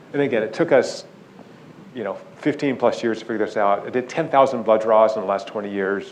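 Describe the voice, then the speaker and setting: A man at a medium pitch talks very fast with ordinary pitch variation, his voice carrying audible room echo. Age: 60s. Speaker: neuroscientist. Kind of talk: lecture. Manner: animated.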